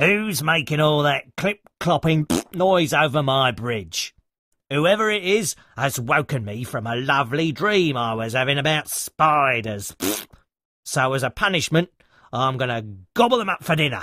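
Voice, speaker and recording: A man's put-on character voice, fairly high-pitched yet rumbling, at a moderate pace on a very clean recording with a silent background. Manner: grumbling, grumpy, threatening.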